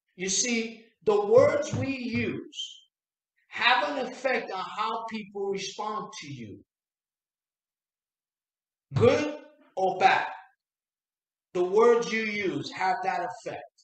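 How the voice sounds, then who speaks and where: Over audible room echo, a man with a high pitch and ordinary pitch variation talks at a very slow pace, with long, frequent pauses and big swings in loudness. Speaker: sales coach. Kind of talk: motivational talk to camera. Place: home room.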